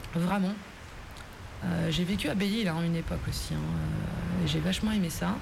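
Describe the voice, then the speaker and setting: Amid noticeable background noise and audible room echo, a woman speaks at a moderate pace with very even loudness and long, frequent pauses. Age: 40s. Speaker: island fort resident and rigging worker. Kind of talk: interview. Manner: hesitant.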